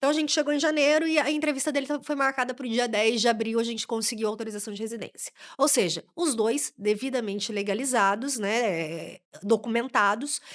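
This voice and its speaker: A woman with a Brazilian accent speaks at a fairly high pitch and a moderate pace, animated in tone with lively intonation. The recording is very clean, with a silent background. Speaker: immigration lawyer. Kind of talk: podcast interview.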